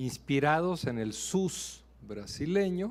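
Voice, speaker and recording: In a Mexican accent, a man talks with very wide swings in pitch. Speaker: ambassador, diplomat. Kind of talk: answering questions after a lecture. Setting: university auditorium.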